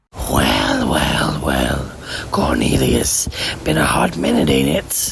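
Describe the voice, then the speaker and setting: In a raspy, put-on character voice with a very deep, low pitch, the speaker goes at a very slow pace. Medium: audio drama. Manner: drawling, mocking.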